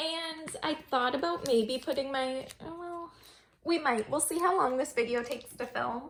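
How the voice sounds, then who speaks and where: Against noticeable background noise, a woman speaks at a high pitch and a moderate pace. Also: ordinary pitch variation. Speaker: K-pop collector vlogger. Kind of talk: casual chat. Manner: casual, filler-heavy.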